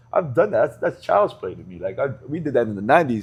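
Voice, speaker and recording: A man is speaking here. His voice carries vocal fry. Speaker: rapper. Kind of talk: interview answer.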